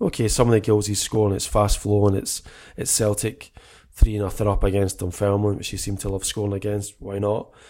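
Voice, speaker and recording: Dark and mellow in tone, a man's fairly low voice moves at a fairly quick pace in a flat monotone. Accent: Scottish. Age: 40s. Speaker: football podcast co-host. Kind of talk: casual chat.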